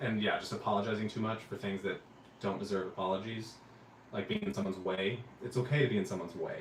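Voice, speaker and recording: Very fast speech from a man with an American accent, fairly even intonation and noticeable background noise. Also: fairly low pitch for a man. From US South. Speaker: travel vlogger. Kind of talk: casual chat. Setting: livestream from hotel room.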